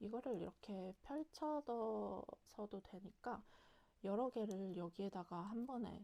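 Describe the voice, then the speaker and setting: Quiet and dark, mellow in tone, a woman speaks at a very slow pace with ordinary pitch variation. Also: medium pitch for a woman. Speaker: solo travel vlogger. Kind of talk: casual talk to camera. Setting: home. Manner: quiet, chatty.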